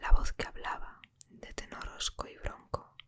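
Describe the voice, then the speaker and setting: Someone whispers at a fairly slow pace. There is noticeable background noise. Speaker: ASMR book reader. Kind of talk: audiobook reading. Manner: whispered.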